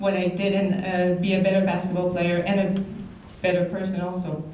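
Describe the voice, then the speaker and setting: Noticeable background noise and audible room echo surround a woman speaking in a monotone, flat manner at medium pitch with a Quebec accent. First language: French. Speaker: basketball player, hall of fame inductee. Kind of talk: acceptance speech. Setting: banquet hall with audience. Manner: halting.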